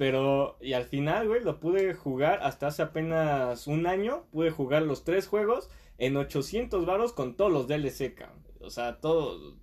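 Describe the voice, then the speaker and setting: A man with a Mexican accent talks at a fairly slow pace, his fairly high pitch moving in lively intonation. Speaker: podcast guest. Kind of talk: casual chat.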